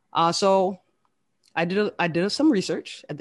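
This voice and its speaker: A woman talks with an American accent at a moderate pace, in medium pitch with ordinary pitch variation. It is an unremarkable speaking voice over a quiet background. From US South, Fort Lauderdale, Florida. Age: 30s. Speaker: vodka brand founder. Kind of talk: casual chat.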